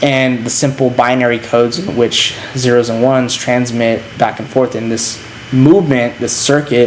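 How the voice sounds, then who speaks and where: Audible room echo and noticeable background noise surround a man speaking with fairly even intonation. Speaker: philosophy lecturer / channel host. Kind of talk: lecture. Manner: halting with fillers.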